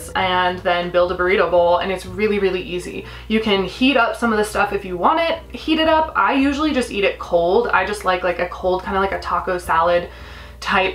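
Her delivery comes at a fairly quick pace, and her intonation is lively. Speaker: cooking vlogger. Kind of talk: tutorial. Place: kitchen. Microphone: camera far.

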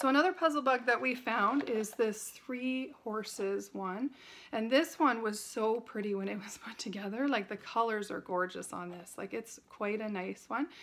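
A woman with a fairly high pitch speaks at a moderate pace with hardly any pauses. Her loudness swings widely, while her pitch varies in an ordinary way. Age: 40s. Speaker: haul video creator. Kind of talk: casual product haul talk to camera. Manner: chatty, casual. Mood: enthusiastic, friendly. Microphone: phone near.

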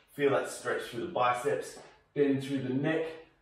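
A man talks at a moderate pace, his pitch varying in an ordinary way, with audible room echo around him. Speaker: fitness instructor. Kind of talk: tutorial. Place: home room.

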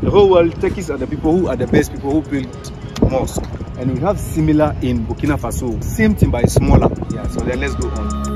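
There is music in the background. The talking proceeds at a fairly quick pace. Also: man. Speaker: tour guide. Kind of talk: tour guide explanation. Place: street.

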